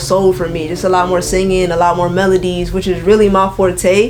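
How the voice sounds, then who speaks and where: A woman speaks in a relaxed tone with an American accent. Noticeable background noise is present. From Florida, Orlando/Kissimmee area. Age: 20s. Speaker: singer and rapper. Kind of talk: interview. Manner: casual, relaxed slang-heavy.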